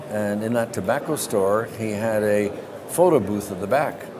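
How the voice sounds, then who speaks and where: A man with a fairly low pitch talks at a moderate pace. The room echo is audible, and there's noticeable background noise. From Canada. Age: 70s. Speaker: business executive. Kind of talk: interview. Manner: animated.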